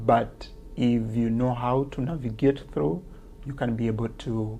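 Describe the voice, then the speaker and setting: With a strong Kenyan accent, the speaker goes at a fairly slow pace over music in the background and audible room echo. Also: man. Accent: Kenyan accent, heavy. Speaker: teacher and author. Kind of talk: interview. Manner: hesitant, many fillers.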